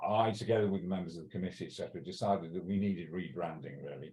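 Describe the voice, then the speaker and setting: A man with a Welsh accent, very deep and low in pitch, dark and mellow, at a very fast pace with ordinary pitch variation. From Wales. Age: 60s. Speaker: cannabis law reform campaigner. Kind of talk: interview. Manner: halting, many fillers and restarts.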